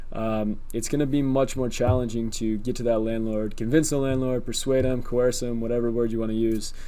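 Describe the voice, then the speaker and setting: A man's medium-pitched, monotone voice with flat intonation, fairly quick and with hardly any pauses, in audible room echo. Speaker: YouTuber teaching rental arbitrage. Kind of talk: tutorial. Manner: fast; casual with many fillers.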